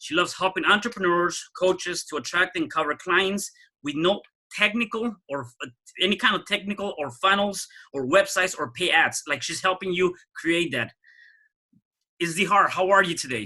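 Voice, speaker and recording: The man's voice is raised and projected, pitched high. Its tone is bright and sharp. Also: ordinary pitch variation, moderate pace. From Mexico City. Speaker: podcast host. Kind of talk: podcast interview.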